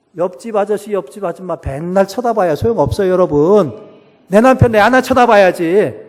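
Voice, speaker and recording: Pitched high, a man talks at a moderate pace in an animated tone. His pitch variation is ordinary. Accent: Chungcheong. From Chungcheong, South Korea. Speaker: pastor and professor. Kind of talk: sermon. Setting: church.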